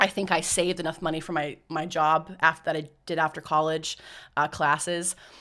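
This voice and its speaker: Bright and sharp in tone, this voice with an American accent moves at a fairly quick pace in a flat monotone, on a very clean recording with a silent background. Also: woman, very deep, low pitch for a woman. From United States. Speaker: mission organisation staff member. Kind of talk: podcast interview. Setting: studio.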